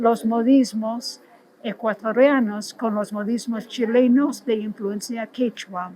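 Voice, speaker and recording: Very slow speech with an English accent. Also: woman. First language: English (speaking Spanish). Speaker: literary scholar. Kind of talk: interview. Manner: halting, with restarts.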